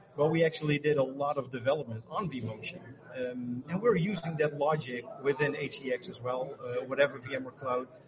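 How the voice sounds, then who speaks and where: A man at a fairly high pitch and fairly slow pace, with ordinary pitch variation and noticeable background noise. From Netherlands. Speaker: tech marketing architect. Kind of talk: interview.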